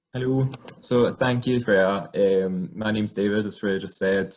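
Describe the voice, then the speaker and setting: Speaking with a Scottish accent, a man uses lively intonation at a fairly low pitch. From Scotland, small rural town. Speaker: occupational therapist. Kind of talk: personal career talk. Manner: hesitant, many fillers.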